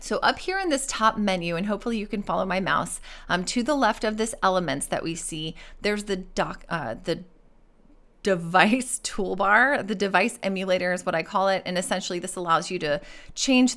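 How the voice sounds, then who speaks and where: Recorded very cleanly over a silent background, a woman speaks at a medium pitch. She keeps a moderate pace with ordinary pitch variation. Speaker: accessibility and UX design mentor. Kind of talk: screen-share tutorial. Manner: halting, with fillers; casual.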